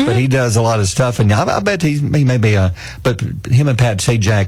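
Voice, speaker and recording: Over noticeable background noise, a man with an American accent talks at a fairly quick pace, with a medium pitch, lively intonation and very even loudness. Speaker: radio morning show co-host. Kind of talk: casual radio talk show banter.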